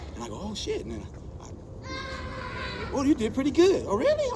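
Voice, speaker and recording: Noticeable background noise runs under the speech. The room echo is audible too. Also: man. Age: 60s. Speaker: street dancer and dance battle judge. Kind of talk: casual interview chat. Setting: after a dance event, other conversations nearby. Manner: animated, acts out dialogue.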